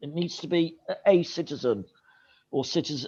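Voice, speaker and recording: This man has a high pitch. He talks at a very slow pace. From northeast England, Sunderland. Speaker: English teacher giving feedback. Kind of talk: feedback on student presentations, video call. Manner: hesitant, many fillers.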